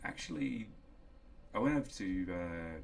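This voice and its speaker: A man with a New Zealand accent, with audible room echo. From New Zealand, small town. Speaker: solar industry professional, electronic engineer. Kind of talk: casual interview. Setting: office.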